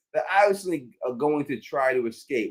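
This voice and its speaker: This is a man speaking. He has a strong New York accent. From US, Queens, New York. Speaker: live stream host. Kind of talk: live stream Q&A reading super chats. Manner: halting, many fillers and restarts.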